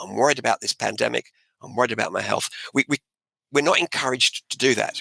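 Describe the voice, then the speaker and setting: A man speaks at a medium pitch with music playing in the background. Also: dry, close sound with no echo. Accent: Australian. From Australia. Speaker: author and motivational speaker. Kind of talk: interview answer.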